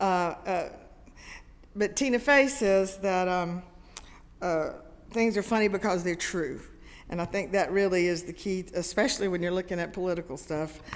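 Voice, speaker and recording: A woman with a Southern US accent speaks at a moderate pace, medium in pitch with ordinary pitch variation. Long, frequent pauses break her speech, and audible room echo surrounds it. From US South, Greenville, South Carolina. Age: 70s. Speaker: comedian. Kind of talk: talk to a congregation. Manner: halting, many fillers.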